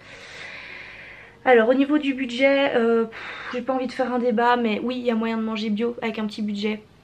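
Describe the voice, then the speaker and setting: A high-pitched woman in a monotone, flat intonation, at a moderate pace with hardly any pauses, over noticeable background noise. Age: 20s. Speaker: beauty youtuber. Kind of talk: casual chat.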